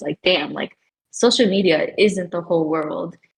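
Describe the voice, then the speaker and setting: A woman's unremarkable speaking voice, fairly low in pitch, at a moderate pace. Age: young. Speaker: college student guest on student podcast. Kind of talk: casual chat.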